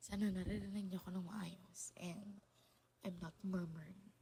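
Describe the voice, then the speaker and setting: Intonation stays monotone and flat. The voice is somewhat breathy. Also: woman. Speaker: podcast host. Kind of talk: casual monologue. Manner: halting. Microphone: low quality recording.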